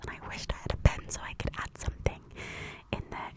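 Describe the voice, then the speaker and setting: Whispering at a very fast pace, a woman is heard over noticeable background noise. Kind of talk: casual talk to camera. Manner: soft-spoken, whispered.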